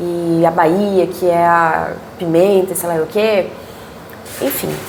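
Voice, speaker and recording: In a Brazilian accent, a woman speaks at a very slow pace with a fairly low pitch and monotone, flat intonation, with audible room echo and noticeable background noise. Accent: non-carioca Brazilian Portuguese. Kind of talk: Bible study teaching. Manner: casual, conversational.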